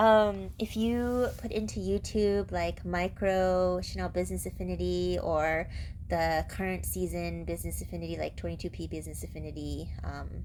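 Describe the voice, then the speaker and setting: A woman speaks at a moderate pace with hardly any pauses, and the room echo is audible. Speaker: bag collector vlogger. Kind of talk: product review vlog. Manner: casual, chatty.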